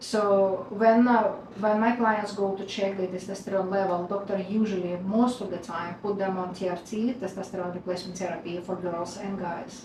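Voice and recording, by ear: A woman speaks at a moderate pace with a medium pitch, fairly even intonation and few pauses, her tone slightly mellow against audible room echo.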